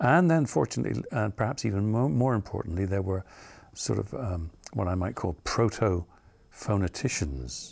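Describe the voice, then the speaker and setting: Somewhat breathy and at a moderate pace, a man's voice makes very wide pitch swings in a very clean recording with a silent background. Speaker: theatre professor and accent coach. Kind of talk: interview answer.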